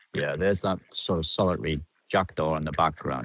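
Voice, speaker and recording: Very deep, low male voice with vocal fry and ordinary pitch variation, dry and close with no echo. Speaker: vlogger feeding ducks. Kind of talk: casual vlog monologue. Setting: outdoors by the river. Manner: hesitant, many fillers.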